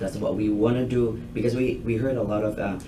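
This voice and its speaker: Room echo is audible and there is noticeable background noise. A man speaks in a fairly low, flat monotone. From Thailand. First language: Thai. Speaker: restaurant owner. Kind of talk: business proposal to a committee. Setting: public committee meeting. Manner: halting.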